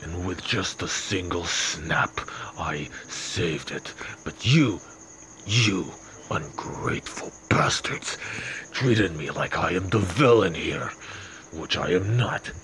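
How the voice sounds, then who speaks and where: Against clear background noise, a man with a very deep, low pitch and ordinary pitch variation talks at a fairly slow pace with long, frequent pauses. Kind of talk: fan dub villain monologue. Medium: fan dub. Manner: bitter, self-righteous, indignant.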